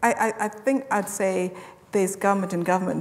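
Speaking in a monotone with flat intonation, a woman keeps a moderate pace. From Zimbabwe. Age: young. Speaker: health tech founder; speaker. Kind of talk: panel discussion. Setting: stage with audience. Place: hall.

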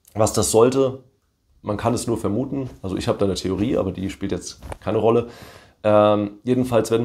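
A man speaks at a fairly quick pace in a fairly low pitch with a dark, mellow tone. His intonation is fairly even, and the background is quiet. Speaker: video creator commenting on his court case. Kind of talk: commentary reading a document aloud. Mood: wry, mildly amused. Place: home room.

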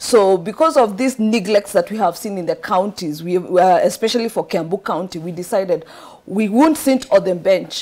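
Speaking at a moderate pace in a Kenyan accent, a woman uses a medium pitch, a dark, mellow tone and lively intonation. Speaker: political candidate. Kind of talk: studio interview. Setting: studio. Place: studio.

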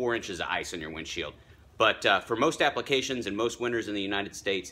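The man's voice sits at a fairly low pitch. He talks at a very fast pace. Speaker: vlogger giving driving tips. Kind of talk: casual product tutorial. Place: street. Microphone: phone near.

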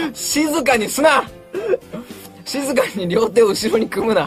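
A man speaks at an extremely high pitch with lively intonation and a fairly slow pace, faint music playing in the background. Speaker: voice actor. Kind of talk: radio talk show banter. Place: studio.

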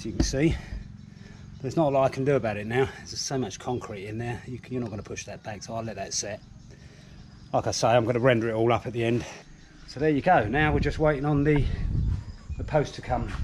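Very fast delivery with big swings in loudness, ordinary pitch variation and noticeable background noise. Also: man. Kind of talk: casual vlog chat. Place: garden. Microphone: phone near.

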